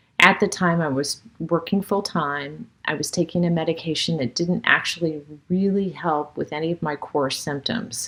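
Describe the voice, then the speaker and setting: A woman speaks at a moderate pace with hardly any pauses over noticeable background noise. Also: fairly low pitch for a woman, ordinary pitch variation. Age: 60s. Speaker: person with Parkinson's sharing experience. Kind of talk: personal testimony.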